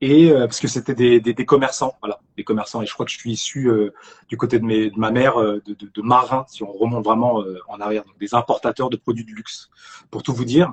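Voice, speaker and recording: Fairly quick delivery, somewhat breathy, with big swings in loudness and fairly even intonation. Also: man, medium pitch for a man. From France, Argenteuil (Paris suburbs). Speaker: actor. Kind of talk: casual chat. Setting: live stream. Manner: halting, many repetitions.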